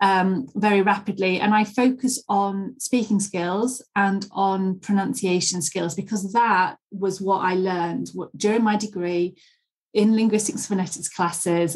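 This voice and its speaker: A woman speaks at a fairly slow pace with a somewhat breathy, medium-pitched voice, a Yorkshire accent and fairly even intonation. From Leeds, northern England. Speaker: English pronunciation teacher. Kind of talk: interview.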